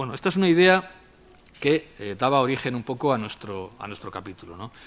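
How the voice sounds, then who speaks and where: This man talks at a fairly quick clip in a medium-pitched voice, with very wide swings in pitch and big jumps in loudness. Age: 60s. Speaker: sociologist. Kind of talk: lecture. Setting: university auditorium with audience. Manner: conversational with frequent fillers.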